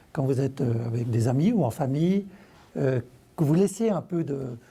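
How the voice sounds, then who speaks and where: A man's dark, mellow voice at a moderate pace with lively intonation. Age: 60s. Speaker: author. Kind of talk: TV interview.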